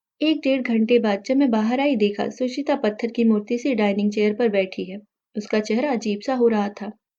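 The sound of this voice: A woman with a dark, mellow tone and a fairly high pitch speaks at a moderate pace with ordinary pitch variation.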